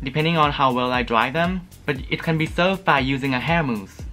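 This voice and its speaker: A man's fairly high voice at a moderate pace, with faint music in the background. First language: not English. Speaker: beauty product reviewer. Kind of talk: casual product review to camera. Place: home room.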